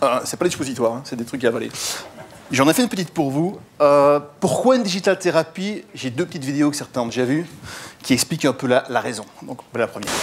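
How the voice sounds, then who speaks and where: Very fast, lively speech from a man with a fairly high pitch. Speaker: digital marketing consultant and lecturer. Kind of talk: conference talk. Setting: stage with audience. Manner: energetic.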